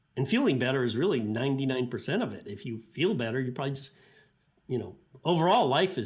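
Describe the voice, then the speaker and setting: Somewhat breathy and medium-pitched, a man rushes through his words at a very fast pace with lively intonation. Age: 60s. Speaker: sports scientist. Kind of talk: interview. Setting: podcast. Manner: casual, with frequent fillers and restarts.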